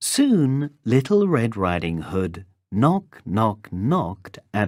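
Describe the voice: Someone reads plainly aloud. Little can be heard behind the voice.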